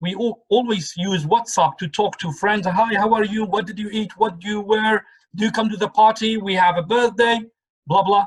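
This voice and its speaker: The speaker talks at a moderate pace with a Kurdish accent. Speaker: English teacher leading a book club. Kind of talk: online discussion group. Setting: video call.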